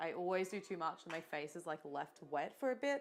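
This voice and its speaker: Talking at a fairly quick pace, a woman with an Australian accent has a fairly low pitch. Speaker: beauty YouTuber. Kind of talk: makeup tutorial. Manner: loud.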